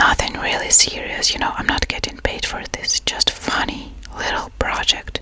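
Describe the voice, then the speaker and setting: Over noticeable background noise, a woman whispers at a moderate pace with hardly any pauses. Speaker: freelance artist, ASMR creator. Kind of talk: casual chit-chat ASMR talking to camera. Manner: soft-spoken, whispered, friendly.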